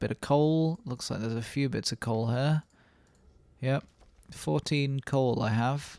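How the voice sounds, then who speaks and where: Quiet and with a British accent, a man is heard on a very clean recording with a silent background and a dry, close sound lacking echo. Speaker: gaming YouTuber. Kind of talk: let's play commentary. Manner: casual, rambling; quieter.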